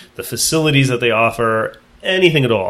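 This is a normal speaking voice at a fairly quick pace. The intonation is lively. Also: man. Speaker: high school teacher and podcast host. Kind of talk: casual interview.

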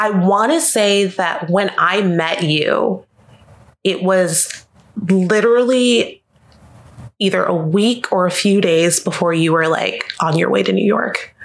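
A woman with an American accent at medium pitch, very slow in pace, with ordinary pitch variation and very even loudness. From US South, Jacksonville, Florida. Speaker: art gallery professional. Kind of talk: casual chat. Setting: host's home.

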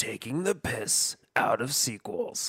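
Putting on a dramatic character voice, a man speaks at a fairly slow pace in a fairly high pitch. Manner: dramatic, movie tagline delivery.

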